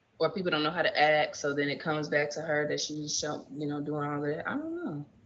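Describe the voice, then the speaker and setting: Against noticeable background noise, the talking moves at a fairly quick pace. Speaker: podcast guest. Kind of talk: casual chat. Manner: halting.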